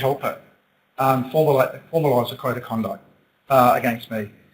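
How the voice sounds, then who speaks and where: An Australian accent marks this man's very fast speech, delivered at a medium pitch with ordinary pitch variation. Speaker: city councillor. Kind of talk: council meeting statement. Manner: loud; halting.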